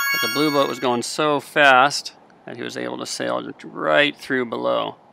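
Noticeable noise fills the background while a man is talking. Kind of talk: live sailing race commentary. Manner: calm, analytical, steady; explanatory, thinking aloud mid-race.

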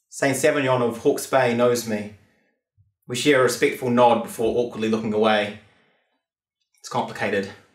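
A man's voice with audible room echo over a quiet background. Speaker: performance poet. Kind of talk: spoken word poetry performance. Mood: wry, measured, theatrical. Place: studio.

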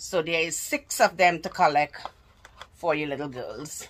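Light background noise is present. A woman speaks with ordinary pitch variation. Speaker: haul vlogger. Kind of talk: casual vlog chat. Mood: cheerful, enthusiastic. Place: home room. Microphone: phone near.

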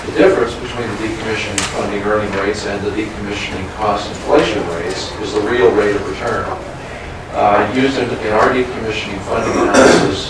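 Speech at a fairly quick pace, with loud background noise and audible room echo. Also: man. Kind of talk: formal meeting report. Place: meeting room. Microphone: camera far.

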